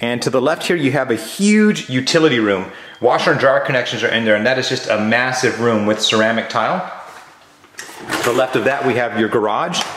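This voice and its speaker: A man's lively intonation at a fairly quick pace, with audible room echo. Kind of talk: property tour commentary. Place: empty room. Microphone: phone near.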